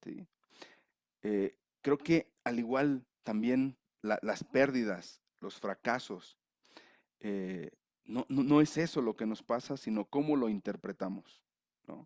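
A man speaks very slowly at a medium pitch, with ordinary pitch variation and long, frequent pauses. The sound is dry and close, with no echo. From Mexico, León, Guanajuato. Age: 40s. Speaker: grief counselor (thanatologist). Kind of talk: casual interview chat.

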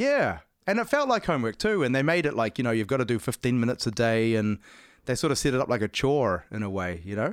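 A man's very fast, lively speech in a very clean recording with a silent background. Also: medium pitch for a man. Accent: New Zealand. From New Zealand. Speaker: musician, guitarist and singer. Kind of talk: casual interview conversation.

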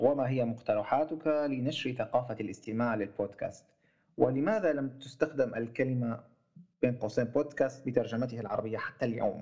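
Here a man talks with a Syrian accent and a dark, mellow tone. His pace is moderate and his pitch variation ordinary. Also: medium pitch for a man. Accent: Levantine (Syrian) Arabic. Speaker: podcast host. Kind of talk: casual interview. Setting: remote call, host in Germany.

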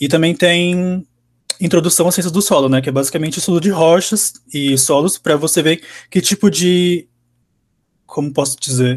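Pausing long and often, a man with a high pitch and ordinary pitch variation speaks at a moderate pace in a very clean recording with a silent background. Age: 20s. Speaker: university engineering student. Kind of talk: interview, casual.

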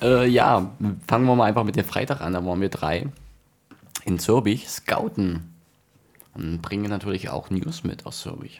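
A man's voice with lively intonation and long, frequent pauses. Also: fairly low pitch for a man, moderate pace. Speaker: amateur football podcast host. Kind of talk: casual chat. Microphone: too quiet, far from mic.

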